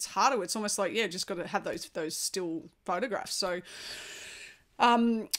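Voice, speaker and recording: A woman speaks in an Australian accent at a moderate pace. The recording is very clean, with a silent background. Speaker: podcast host and former national baseball player. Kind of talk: podcast interview.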